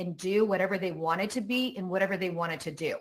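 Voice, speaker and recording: This woman has an American accent. She uses lively intonation. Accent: American-sounding, Croatian accent dropped. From Croatia. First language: Croatian. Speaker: keynote speaker, digital policy advisor. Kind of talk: keynote talk.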